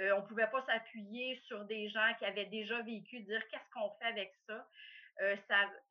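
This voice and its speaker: A woman speaks at a fairly high pitch, keeping her intonation fairly even. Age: 50s. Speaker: coffee company owner. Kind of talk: interview. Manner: hesitant, many fillers.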